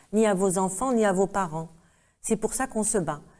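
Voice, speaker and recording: At a fairly quick pace, a woman speaks in a dark, mellow tone with fairly even intonation. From Algeria. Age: 60s. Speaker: activist, mother of a disappeared son. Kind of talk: interview testimony. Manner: emotional, halting.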